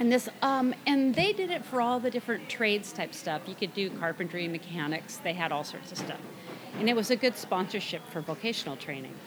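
A woman with an American accent talks at a fairly quick pace and medium pitch, her pitch swinging very widely. Noticeable background noise can be heard. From US Pacific Northwest (Burien, near Seattle). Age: 60s. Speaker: woodworker and former aircraft engineer. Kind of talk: casual interview chat.

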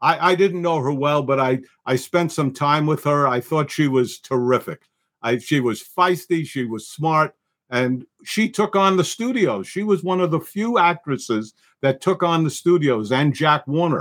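On a very clean recording with a silent background, a man with a New York accent speaks at a moderate pace, his fairly high pitch moving in lively intonation. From New York, the Bronx. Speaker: film producer. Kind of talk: casual chat.

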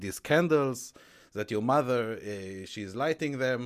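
Here a man speaks with an Israeli accent at a fairly slow pace. The recording is very clean, the background silent. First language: Hebrew. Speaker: entrepreneur and author. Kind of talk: interview. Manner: halting.

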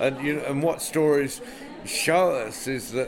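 There is audible room echo and noticeable background noise. A man with an English accent speaks at a moderate pace with fairly even intonation. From England. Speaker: storyteller and festival director. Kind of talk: interview.

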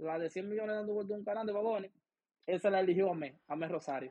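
A man with a Dominican accent at a very fast pace, high-pitched, with ordinary pitch variation. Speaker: professional baseball player. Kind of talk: interview.

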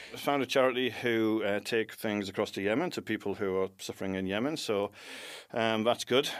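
At a fairly quick pace, this British accent shows ordinary pitch variation on a very clean recording with a silent background. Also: man, fairly low pitch for a man. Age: 40s. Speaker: graphic designer. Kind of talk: casual chat.

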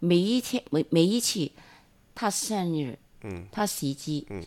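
Speaking very slowly, a woman with a Hong Kong accent uses a fairly low pitch. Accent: Hong Kong Cantonese-accented Mandarin. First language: Cantonese (speaking Chinese). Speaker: friend of the host. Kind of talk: casual chat. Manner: halting, many hesitations.

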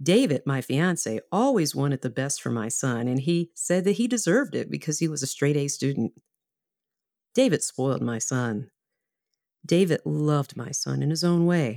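The voice has a dark, mellow tone and an American accent, with lively intonation at a moderate pace. The sound is dry and close, with no echo. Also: woman, very deep, low pitch for a woman. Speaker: instructional designer. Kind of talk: personal story performance. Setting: recorded at home.

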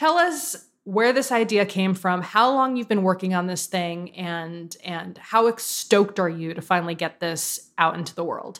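A woman speaks in an unremarkable speaking voice at medium pitch with ordinary pitch variation. At a fairly slow pace with hardly any pauses, she is heard on a very clean recording with a silent background. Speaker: podcast host. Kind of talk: casual interview chat.

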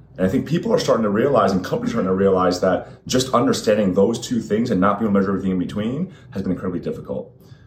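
A man with a fairly low pitch and ordinary pitch variation at a very fast pace with hardly any pauses, over noticeable background noise. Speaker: industry executive guest. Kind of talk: interview.

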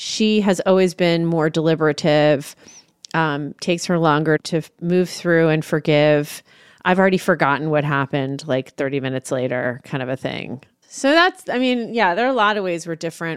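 In a very clean recording with a silent background, a woman with a plain, everyday voice speaks at a moderate pace and a fairly low pitch, her intonation lively. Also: dry, close sound with no echo. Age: 40s. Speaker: single parent. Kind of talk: interview.

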